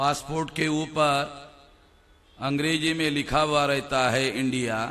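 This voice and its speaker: A man speaks with a Marathi accent and fairly even intonation. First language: Marathi (speaking Hindi). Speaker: activist speaker. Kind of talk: public speech.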